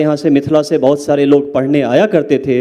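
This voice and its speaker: A dark, mellow tone in a Bihar accent. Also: man. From Mithila, Bihar. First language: Maithili (speaking Hindi). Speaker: English professor, panelist. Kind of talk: panel talk at literature festival. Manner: code-switching Hindi and English, hesitant fillers.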